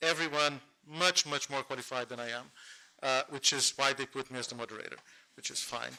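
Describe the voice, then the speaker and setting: Using a Portuguese accent, a man talks at a fairly quick pace with medium pitch and fairly even intonation. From Brazil, Rio de Janeiro. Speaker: panel moderator; lawyer. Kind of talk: conference panel introduction. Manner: fast.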